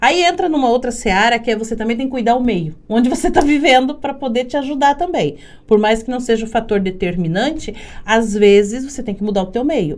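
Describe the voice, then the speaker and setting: Her intonation lively, a woman talks at a fairly quick pace with a fairly high pitch. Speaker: podcast host. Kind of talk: casual interview chat. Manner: loud.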